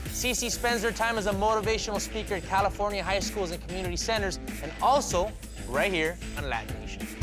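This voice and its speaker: Backed by music in the background, a man speaks at a very fast pace. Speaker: TV show host. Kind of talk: TV host introduction.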